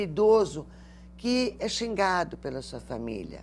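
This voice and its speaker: A woman speaks at medium pitch with vocal fry. Her pitch swings very widely. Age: 60s. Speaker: lawyer and elder-rights advocate. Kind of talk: TV interview.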